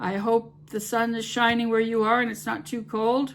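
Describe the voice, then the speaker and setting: At a moderate pace, a woman speaks with fairly even intonation. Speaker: home cooking YouTuber. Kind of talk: casual vlog talk to camera. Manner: hesitant, many fillers.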